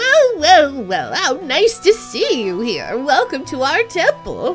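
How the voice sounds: Clear music plays in the background behind a put-on character voice. It is high-pitched and fairly slow.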